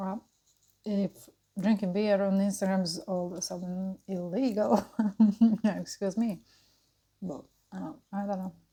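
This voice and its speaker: A woman's somewhat breathy, dark and mellow voice at a medium pitch moves at a fairly slow pace with long, frequent pauses and big swings in loudness. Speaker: mukbang and burping YouTuber. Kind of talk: casual chat while eating and drinking. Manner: hesitant, filler-heavy.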